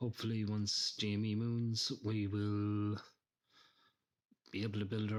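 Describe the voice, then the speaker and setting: At a moderate pace, a man with an Irish accent speaks at a fairly low pitch. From Ireland. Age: 30s. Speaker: retail investor. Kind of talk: testimony.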